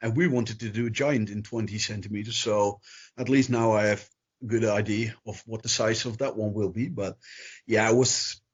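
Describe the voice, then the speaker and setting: A man's somewhat breathy voice at medium pitch, with fairly even intonation. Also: moderate pace. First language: not English. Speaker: miniature company owner. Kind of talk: interview.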